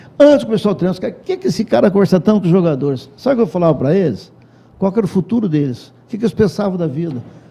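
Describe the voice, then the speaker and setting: The voice has a dark, mellow tone. It moves at a very fast pace. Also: man. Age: 70s. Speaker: former football coach and PE teacher. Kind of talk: interview.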